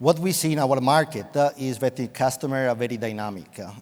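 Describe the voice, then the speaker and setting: A man speaks at a fairly quick pace with an Italian accent. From Italy, Venice. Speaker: IT executive. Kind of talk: panel discussion.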